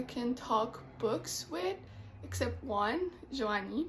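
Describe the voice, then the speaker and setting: A woman with a Quebec accent. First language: French. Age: 20s. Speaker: book vlogger, literature student. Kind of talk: casual vlog talk. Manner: hesitant, many fillers.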